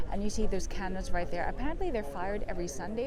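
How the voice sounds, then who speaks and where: A woman's high voice with very wide pitch swings and a Filipino accent, at a very fast pace, amid audible room echo and noticeable background noise. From Philippines. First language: Tagalog. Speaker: travel vlogger / tour guide. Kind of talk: walking tour vlog. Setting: outdoors walking in city. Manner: casual, hesitant with fillers.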